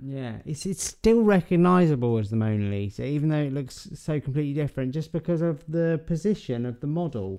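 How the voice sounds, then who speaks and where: A man's dark, mellow voice at a fairly quick pace with hardly any pauses, in a very clean recording with a silent background. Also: fairly high pitch for a man. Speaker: art podcast co-host. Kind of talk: casual chat. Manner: animated.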